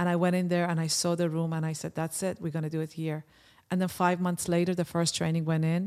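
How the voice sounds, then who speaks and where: A woman speaks with a non-native accent at a fairly low pitch, her intonation monotone and flat. The recording is very clean, with a silent background. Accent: foreign. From Iran. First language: Persian. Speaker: personal development trainer. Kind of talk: casual interview. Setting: studio. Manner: halting.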